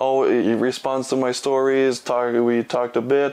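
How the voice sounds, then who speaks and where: Moderate-paced speech from a man at medium pitch with a Quebec accent. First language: French. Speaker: film reviewer. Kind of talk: casual video monologue. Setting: in his room. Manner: halting, many fillers.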